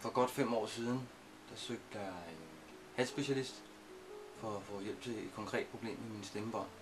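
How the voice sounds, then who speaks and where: A man talks fairly slowly at medium pitch, with ordinary pitch variation. Long, frequent pauses break up his speech, and music plays in the background. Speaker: singer and patient telling his case. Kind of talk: interview testimony. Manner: halting, many filler sounds.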